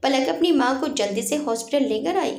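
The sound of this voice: With vocal fry running through her high-pitched voice, a woman speaks with lively intonation. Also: fairly quick pace.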